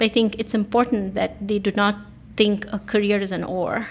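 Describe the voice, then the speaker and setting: With vocal fry at a medium pitch, a woman speaks at a fairly quick pace and fairly even intonation. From India (Bangalore). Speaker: design strategy executive. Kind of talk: interview.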